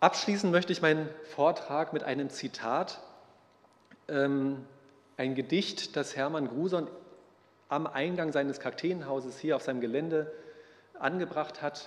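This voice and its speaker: Speech comes at a fairly slow pace with long, frequent pauses. The intonation stays fairly even. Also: man, fairly high pitch for a man. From northern Germany, Neubrandenburg; Germany. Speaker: botanist and conference co-organizer; lecturer. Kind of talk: lecture. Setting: lecture hall with audience. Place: hall.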